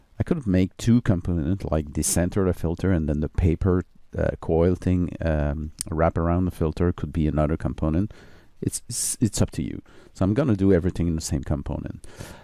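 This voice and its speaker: A dark, mellow voice with a French accent moves at a fairly quick pace, recorded very cleanly with a silent background and a dry, close sound free of echo. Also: man, very deep, low pitch for a man, ordinary pitch variation. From France or French-speaking region. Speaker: software tutorial maker. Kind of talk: tutorial. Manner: halting, many fillers.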